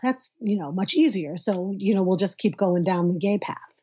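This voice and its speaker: Her voice has a somewhat breathy quality. The speaker is a woman. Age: 40s. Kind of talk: casual interview. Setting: at home, in her son's bedroom.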